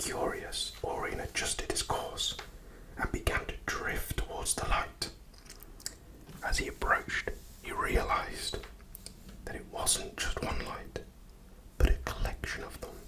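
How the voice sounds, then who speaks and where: A man whispers fairly slowly with long, frequent pauses and big swings in loudness, noticeable background noise running underneath. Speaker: ASMR artist. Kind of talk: sleep story. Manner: soft-spoken, slow.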